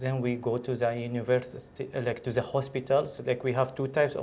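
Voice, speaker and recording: Talking at a fairly quick pace, a man holds a medium pitch. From Syria. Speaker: doctor. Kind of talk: interview. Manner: halting.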